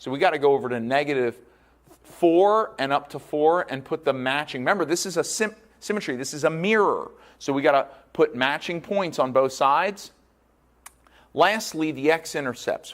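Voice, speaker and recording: In a very clean recording with a silent background, the speaker goes at a moderate pace with ordinary pitch variation. It is an ordinary speaking voice. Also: man. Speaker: math teacher. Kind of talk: recorded lecture. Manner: casual, conversational.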